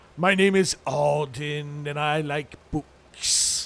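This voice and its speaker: A man puts on a raspy character voice with a fairly high pitch. He speaks at a very slow pace. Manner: slow, drawn-out.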